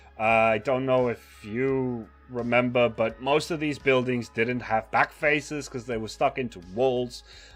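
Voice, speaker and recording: Music plays in the background. A man talks at medium pitch and a fairly slow pace. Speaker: Minecraft streamer. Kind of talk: casual live stream build commentary. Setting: livestream.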